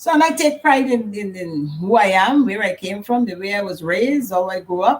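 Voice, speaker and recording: Speaking at a moderate pace, a woman uses lively intonation with a strong Guyanese accent. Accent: thick Guyanese Caribbean. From Guyana. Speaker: mother of the channel host, cook. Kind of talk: casual chat. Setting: livestream.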